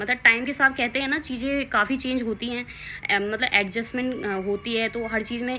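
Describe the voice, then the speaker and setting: Noticeable background noise surrounds a woman with a high pitch. She talks at a moderate pace with fairly even intonation. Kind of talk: casual talk to camera. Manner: slightly nervous, hesitant.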